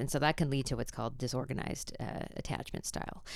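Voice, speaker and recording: A woman's very deep, low voice with vocal fry, at a very fast pace, on a very clean recording with a silent background. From Canada. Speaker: theologian and professor, practical theology researcher. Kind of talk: interview discussion, explanatory.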